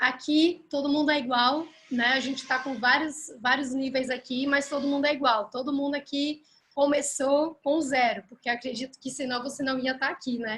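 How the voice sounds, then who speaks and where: Her high-pitched voice stays monotone and flat as this woman speaks at a moderate pace. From Belgium, Ghent (Flanders). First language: Dutch (speaking Portuguese). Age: 20s. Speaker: language teacher and online coach. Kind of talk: live online class. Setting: live video stream. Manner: casual, with hesitations.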